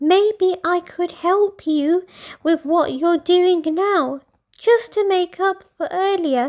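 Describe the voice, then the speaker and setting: A woman's put-on character voice, squeaky and extremely high, at a very slow pace. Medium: read story. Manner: earnest, apologetic.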